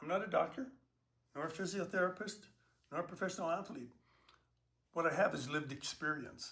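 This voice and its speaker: A man talks at a fairly quick pace in a high pitch, his tone bright and sharp. His pitch varies in an ordinary way, with long, frequent pauses. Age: 70s. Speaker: online personal trainer for seniors. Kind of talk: talk to camera about health and aging.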